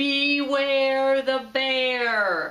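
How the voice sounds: This is a put-on character voice that sounds female. Its pitch is high for a woman.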